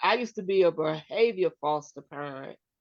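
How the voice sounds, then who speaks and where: With a plain, everyday voice, a woman speaks at a fairly slow pace using lively intonation. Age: 60s. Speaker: show co-host, former foster parent. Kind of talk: casual chat.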